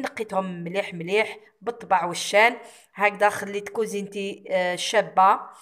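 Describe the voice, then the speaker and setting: A woman's plain, everyday voice at a medium pitch, fairly slow, with fairly even intonation. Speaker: cooking vlogger. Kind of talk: vlog narration.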